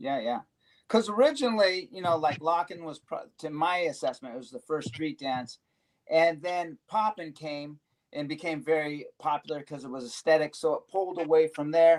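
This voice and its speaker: In an ordinary speaking voice, a man talks at a moderate pace and fairly high pitch, with ordinary pitch variation and big swings in loudness. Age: 60s. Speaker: veteran locking dancer. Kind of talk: casual panel discussion. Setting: live stream.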